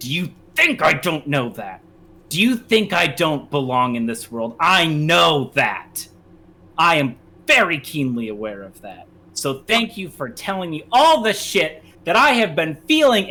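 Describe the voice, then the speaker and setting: A man uses a put-on character voice, growling in an angry tone with a raised, projected voice. His fairly high pitch swings very widely, and his loudness swings greatly too. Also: moderate pace. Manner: growling, angry; defensive, hurt.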